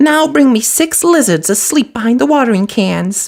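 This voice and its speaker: The voice is a put-on character voice with a fairly high pitch. Its pace is moderate. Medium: read story. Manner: brisk, bossy.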